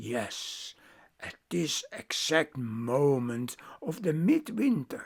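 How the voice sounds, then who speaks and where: Put-on character voice, raspy and low-to-middle in pitch, at a very slow pace. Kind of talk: oral myth storytelling. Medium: read story. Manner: halting, repetitive, conversational.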